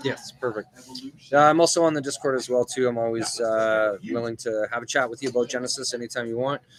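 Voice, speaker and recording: Very fast speech from a man, with fairly even intonation over noticeable background noise. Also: medium pitch for a man. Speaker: gaming channel host. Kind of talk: casual chat. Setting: in a store. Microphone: laptop.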